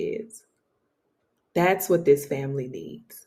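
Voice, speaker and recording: This soft-spoken woman has a fairly low pitch. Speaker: podcast host. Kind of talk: casual monologue. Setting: home studio. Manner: rather quiet.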